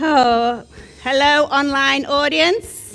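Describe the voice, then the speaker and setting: Over background music, a woman with an American accent speaks very slowly in an upbeat tone. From Liverpool, England. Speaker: mental health advocate and speaker. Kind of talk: live event host welcome.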